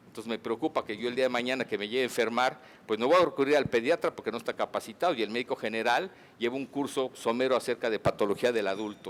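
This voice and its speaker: Medium-pitched with ordinary pitch variation, a man speaks at a very fast pace. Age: 60s. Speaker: physician giving a conference talk. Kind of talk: medical lecture.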